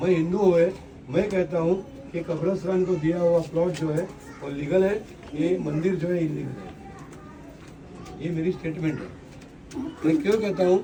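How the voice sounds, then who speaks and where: A high-pitched man's voice with fairly even intonation and long, frequent pauses, amid noticeable background noise and audible room echo. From Maharashtra, India. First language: Marathi (speaking Hindi). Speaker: local election candidate, politician. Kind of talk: campaign speech to residents.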